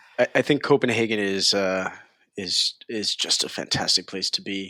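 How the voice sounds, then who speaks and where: The recording is dry and close with no echo, capturing a man with a New York accent whose bright, sharp tone sits at a fairly low pitch over fairly even intonation. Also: moderate pace. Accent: New York American. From New York, US. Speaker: tech company CEO. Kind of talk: interview. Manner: halting.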